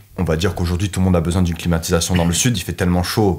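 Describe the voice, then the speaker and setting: This man's voice is very deep and low. He speaks at a very fast pace. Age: 20s. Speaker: trainee refrigeration technician. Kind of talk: interview.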